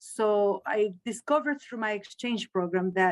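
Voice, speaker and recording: A woman with a Spanish accent is heard in a dry, close sound with no echo. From Chile. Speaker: Spanish teacher. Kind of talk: interview. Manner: halting.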